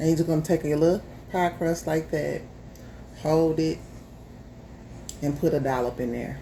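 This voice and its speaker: At a moderate pace, a woman speaks with a very deep, low pitch and a dark, mellow tone, fairly even intonation, vocal fry, and long, frequent pauses. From US South, Memphis, Tennessee. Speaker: home cook, YouTuber. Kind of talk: casual chat; cooking tutorial. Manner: casual, chatty.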